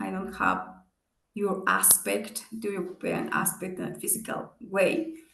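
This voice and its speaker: A woman with a non-native accent speaks at a fairly slow pace and a medium pitch, with vocal fry. Audible room echo surrounds her voice. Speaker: business executive and guest speaker. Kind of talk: seminar talk with Q&A. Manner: halting.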